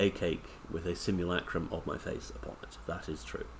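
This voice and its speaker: A Scottish accent at a moderate pace. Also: man. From Scotland. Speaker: broadcaster and commentator. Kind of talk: casual chat.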